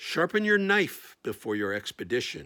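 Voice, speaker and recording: With very wide pitch swings, someone performs in a put-on character voice. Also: man, very clean recording, silent background. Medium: solo performance. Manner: emotionless.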